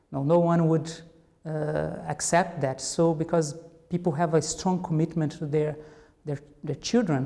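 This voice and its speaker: A man with a Portuguese accent, fairly high pitch, fairly even intonation and moderate pace, over noticeable background noise. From Brazil. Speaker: cognitive anthropologist. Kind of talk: interview. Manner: halting, with many fillers and repetitions.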